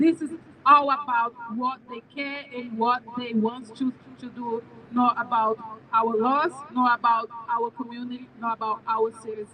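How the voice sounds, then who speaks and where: A woman with a high pitch speaks at a fairly slow pace with fairly even intonation and big swings in loudness over noticeable background noise. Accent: Brazilian Portuguese. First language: Portuguese. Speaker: immigrant advocacy director. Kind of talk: rally speech. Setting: outdoors with PA, State House steps.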